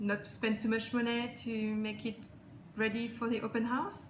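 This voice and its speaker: A woman with a non-native accent speaks at a fairly high pitch. There is noticeable background noise and audible room echo. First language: not English. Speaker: client giving a testimonial. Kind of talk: testimonial. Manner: halting.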